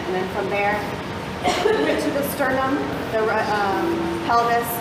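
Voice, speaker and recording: A woman is speaking. Her voice carries audible room echo amid loud background noise. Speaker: guest. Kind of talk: personal story told to a group. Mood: calm, earnest, somewhat hesitant. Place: gym. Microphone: camera far.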